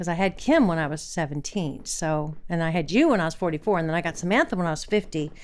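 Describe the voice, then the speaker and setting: Talking very fast with hardly any pauses, a woman with an American accent has a fairly low pitch and ordinary pitch variation. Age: 70s. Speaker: mother of a livestreamer, former dance teacher. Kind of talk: casual chat.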